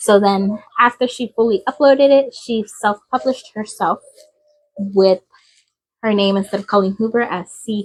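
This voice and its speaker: Woman with a fairly high pitch, ordinary pitch variation and a moderate pace, dry, close sound with no echo, music in the background. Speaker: book reviewer. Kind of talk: casual book review talk to camera.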